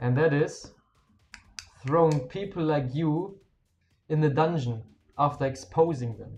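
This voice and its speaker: Speaking with a strong German accent, a man goes at a fairly slow pace in a somewhat breathy voice, with long, frequent pauses, big swings in loudness and ordinary pitch variation. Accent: thick German. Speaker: game streamer. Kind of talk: live stream chat. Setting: live stream. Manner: casual, halting at times.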